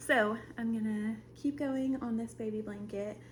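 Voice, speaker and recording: At a fairly slow pace, a woman speaks. Both noticeable background noise and audible room echo surround her voice. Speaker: crochet vlogger. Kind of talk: casual vlog chat. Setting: at home. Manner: casual, filler-heavy.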